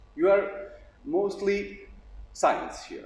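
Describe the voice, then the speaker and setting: A man talks at a very slow pace in a high pitch. Audible room echo surrounds his voice. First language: Bosnian/Serbian. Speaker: puppet theater actor. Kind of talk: lecture. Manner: halting.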